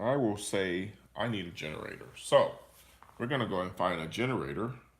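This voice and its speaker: A man's fairly low voice at a fairly quick pace, ordinary pitch variation, and audible room echo. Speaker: teacher. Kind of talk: tutorial. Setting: live stream screen recording.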